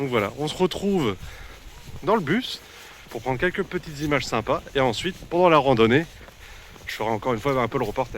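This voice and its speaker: A man talks at a fairly quick pace with lively intonation, leaving long, frequent pauses. Noticeable background noise runs behind him. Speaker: travel vlogger. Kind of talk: travel vlog narration. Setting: outdoors. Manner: casual, hesitant.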